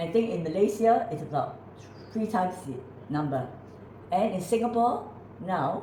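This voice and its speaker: Lively intonation comes through long, frequent pauses, with audible room echo and noticeable background noise. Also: woman, medium pitch for a woman, moderate pace. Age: 80s+. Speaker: natural health author and presenter. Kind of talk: casual conversation.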